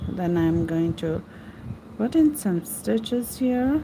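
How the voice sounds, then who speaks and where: With a non-native accent, a woman speaks very slowly at a medium pitch, her tone dark and mellow and somewhat breathy. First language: not English. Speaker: crochet teacher. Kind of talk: live stream tutorial. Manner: casual, chatty.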